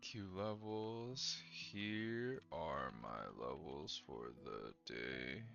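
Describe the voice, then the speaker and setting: A man talks at a very slow pace with hardly any pauses, his voice carrying audible room echo over music in the background. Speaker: day trader livestreamer. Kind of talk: live trading stream chat. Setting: live stream. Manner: quiet.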